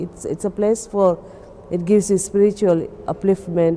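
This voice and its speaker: A woman speaks over noticeable background noise. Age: 60s. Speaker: pilgrim. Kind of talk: testimony. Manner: halting.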